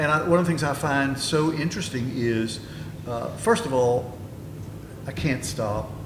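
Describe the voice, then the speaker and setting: A man's fairly high voice carries audible room echo. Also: moderate pace. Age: 70s. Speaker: songwriter and folk musician. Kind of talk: panel talk at a festival session. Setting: festival info session with audience.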